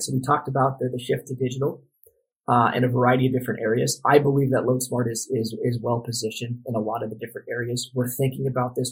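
A man's somewhat breathy, medium-pitched voice at a very fast pace. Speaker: podcast guest, freight brokerage representative. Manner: fast talker.

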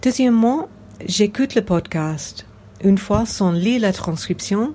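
A woman with an English accent, very slow in pace, ordinary in pitch variation, amid noticeable background noise. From England. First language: English (speaking French). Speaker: podcast listener, French learner. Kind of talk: recorded listener testimony.

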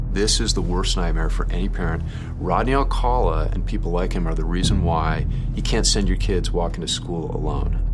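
Over music in the background, a man talks at a fairly quick pace. His loudness stays very even. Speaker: true crime commentator. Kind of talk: interview commentary.

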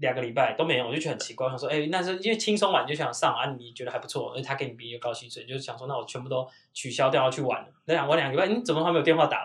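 The speaker is a man with a fairly high voice. He rushes along at a very fast clip. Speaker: podcast host. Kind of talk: casual chat.

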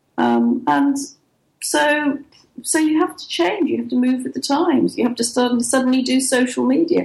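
With an English accent, a woman speaks at a moderate pace in a high pitch with ordinary pitch variation. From England. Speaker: writer and publisher. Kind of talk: interview.

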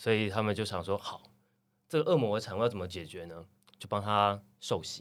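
A man's fairly low voice with ordinary pitch variation and big swings in loudness. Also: fairly quick pace. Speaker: coffee roaster and café owner. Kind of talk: casual chat. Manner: steady, storyteller-like delivery.

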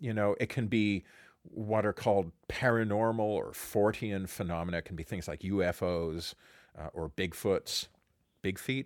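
In a plain, everyday voice, a man speaks at a fairly low pitch and a fairly slow pace with ordinary pitch variation, on a very clean recording with a silent background. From Canada. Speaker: musicology professor and podcast co-host. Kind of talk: casual conversational chat.

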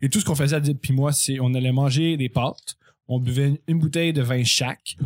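A man talks at a fairly quick pace in a normal speaking voice, fairly high-pitched, with fairly even intonation and very even loudness. The sound is dry and close, with no echo. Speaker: comedy writer. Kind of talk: casual chat.

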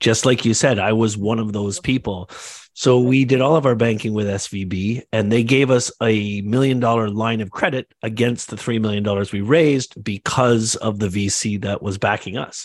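In a plain, everyday voice with a Canadian accent, a man speaks at a medium pitch and a moderate pace with hardly any pauses. His intonation is fairly even, and the background is quiet. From Canada. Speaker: entrepreneur, agency and real estate developer. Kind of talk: casual panel discussion.

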